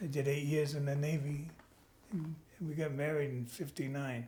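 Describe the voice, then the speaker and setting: With a New York accent, a man speaks at a fairly high pitch with fairly even intonation. His voice is somewhat breathy, and audible room echo is present. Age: 90. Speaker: Navy veteran and grandfather. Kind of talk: family interview.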